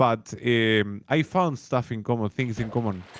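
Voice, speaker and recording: A man is speaking. He has a Spanish accent. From Uruguay. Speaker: streamer and content creator. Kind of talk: casual interview chat. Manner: halting.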